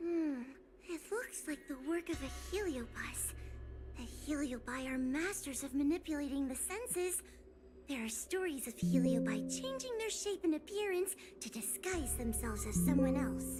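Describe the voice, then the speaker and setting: Someone performs a put-on character voice over loud music in the background. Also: female-sounding voice, moderate pace. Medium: video game. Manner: hesitant, stammering.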